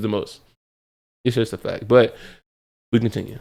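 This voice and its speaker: Delivered at a very fast pace in a monotone, flat intonation, the speech sits on a very clean recording with a silent background. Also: man. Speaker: gaming youtuber reacting to a video. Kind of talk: casual reaction commentary. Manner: rambling, repeats and restarts phrases.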